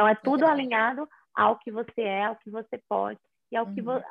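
A woman at a fairly quick pace, with lively intonation. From Fortaleza, Ceará, Brazil. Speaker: image and style consultant. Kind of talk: casual live-stream chat. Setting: online live stream.

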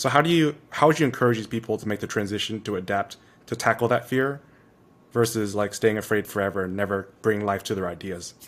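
A man's fairly low voice at a very fast pace. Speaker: podcast host. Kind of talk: podcast interview. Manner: deadpan.

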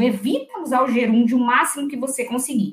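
A woman speaks loudly. Her pitch is high. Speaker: secretarial skills teacher and executive secretary. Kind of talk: tutorial.

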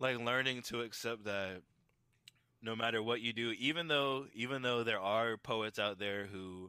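A man with an American accent uses a normal speaking voice, fairly low in pitch, at a moderate pace. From Tampa, Florida. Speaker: spoken word poet. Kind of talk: casual interview.

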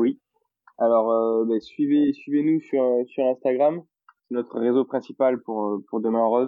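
Speaking at a moderate pace with a Toulouse accent, a man keeps a medium pitch and fairly even intonation. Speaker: entrepreneur behind a local video project. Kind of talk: casual chat interview.

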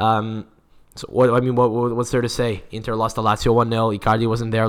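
A man with an American accent talks at a very fast pace in a fairly low pitch with an animated tone. The recording is very clean, with a silent background. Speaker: football podcast host. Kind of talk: casual chat.

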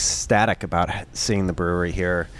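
Noticeable background noise surrounds a man speaking. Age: 40s. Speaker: brewery owner and contractor. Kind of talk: interview. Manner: halting.

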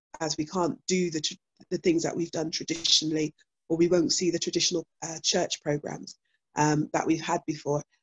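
A woman talks at a fairly quick pace in a somewhat breathy, fairly low voice. Her intonation stays fairly even. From Bristol, England. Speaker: church minister. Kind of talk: casual chat.

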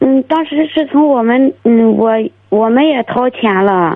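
With ordinary pitch variation, the words come at a very slow pace. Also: woman. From Dezhou, Shandong. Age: 20s. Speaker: caller seeking marriage advice. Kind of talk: phone call-in. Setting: phone call. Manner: halting.

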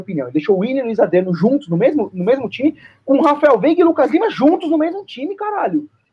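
A man talks at a very fast pace with hardly any pauses. His pitch is extremely high for a man and swings very widely. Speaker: football podcast panelist. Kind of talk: casual chat.

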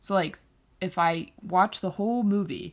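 In a very clean recording with a silent background, a woman uses a normal speaking voice with fairly even intonation. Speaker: college student podcaster. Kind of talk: casual monologue.

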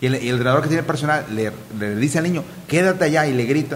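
At a very fast pace, a man talks in a fairly high voice with ordinary pitch variation. Audible room echo surrounds him. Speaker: football podcast host. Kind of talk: casual chat.

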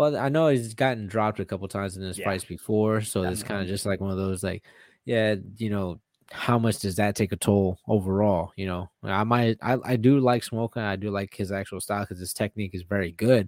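A man talks at a fairly quick pace and fairly low pitch. The recording is very clean with a silent background and a dry, close sound with no echo. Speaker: UFC fighter. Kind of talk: casual chat. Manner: excitable.

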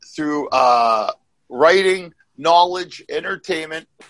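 A man projects his raised voice at a fairly slow pace, his tone bright and sharp, the sound dry and close with no echo. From Canada. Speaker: comedy podcast co-host. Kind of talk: casual chat.

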